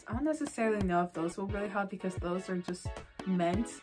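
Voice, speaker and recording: Music plays behind a woman whose intonation is lively. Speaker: vlogger sharing speech tips. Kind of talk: casual talk to camera. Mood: friendly, encouraging.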